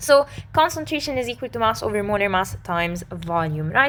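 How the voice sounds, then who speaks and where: A woman speaks in a raised, projected voice with a bright, sharp tone. Her pitch swings very widely. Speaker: chemistry tutor. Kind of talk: tutorial. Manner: fast.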